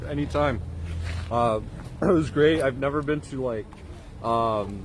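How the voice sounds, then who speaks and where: A fairly slow pace and lively intonation, set in audible room echo. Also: man. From El Paso, Texas, Mexican family. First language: Spanish. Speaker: independent livestream journalist. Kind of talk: casual chat.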